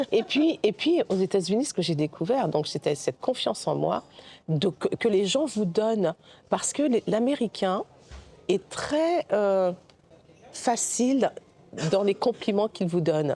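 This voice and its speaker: A woman with very wide pitch swings and long, frequent pauses in a dry, close sound with no echo. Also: medium pitch for a woman, fairly slow pace. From Guadeloupe, raised in mainland France from age 6. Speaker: film director. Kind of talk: interview. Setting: recorded at a film festival. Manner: halting, many hesitations and repetitions.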